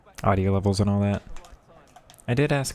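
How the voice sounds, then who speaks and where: A man speaks at a fairly quick pace with lively intonation and a fairly low pitch. Noticeable background noise sits behind him. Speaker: gaming streamer. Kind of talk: live gameplay commentary. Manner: lazy casual.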